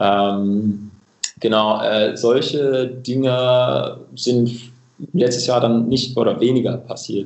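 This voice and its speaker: In an English accent, a man of medium pitch talks very slowly with long, frequent pauses, fairly even intonation and very even loudness, with audible room echo. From England, Cambridge. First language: English (speaking German). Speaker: coffee equipment company representative. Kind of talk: casual interview. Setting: remote call. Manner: halting, many filler sounds.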